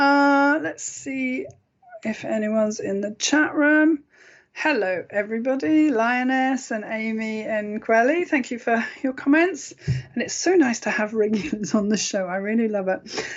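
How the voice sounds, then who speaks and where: A woman with a British accent talks at a fairly slow pace. Her pitch is fairly high and her intonation lively. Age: 50s. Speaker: internet radio host and intuitive healer. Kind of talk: sales pitch; casual radio talk show monologue.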